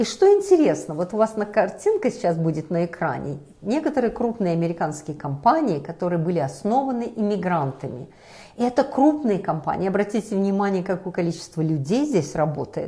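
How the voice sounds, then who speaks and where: A woman's somewhat breathy, medium-pitched voice, moving fast with very wide pitch swings. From Belarus. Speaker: talk show host. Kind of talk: discussion show.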